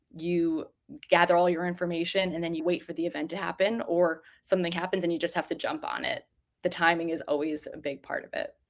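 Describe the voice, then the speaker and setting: A woman's very fast, fairly low-pitched voice with an American accent and fairly even intonation. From New Jersey. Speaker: journalist and editor. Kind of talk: interview.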